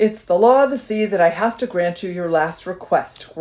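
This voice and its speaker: Putting on a rumbling character voice, a woman speaks at a moderate pace and a medium pitch. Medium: read story. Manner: grumbling.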